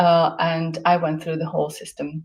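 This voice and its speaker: Speaking at a fairly slow pace, a woman with a fairly low voice and a Slovak accent shows vocal fry. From Slovakia. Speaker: guest speaker. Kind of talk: casual interview chat. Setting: hotel room.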